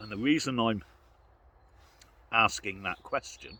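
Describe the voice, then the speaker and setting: Here a man with a British accent speaks at a fairly slow pace. His voice is fairly low, with lively intonation. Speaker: outdoor vlogger. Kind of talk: casual vlog monologue. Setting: outdoors in the woods.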